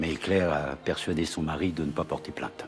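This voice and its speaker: A man at a moderate pace, with fairly even intonation and music in the background. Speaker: actor. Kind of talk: TV drama scene.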